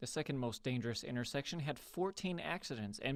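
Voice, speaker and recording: Using an ordinary speaking voice, a man talks at a fairly quick pace with medium pitch. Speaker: TV news reporter. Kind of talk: TV news report.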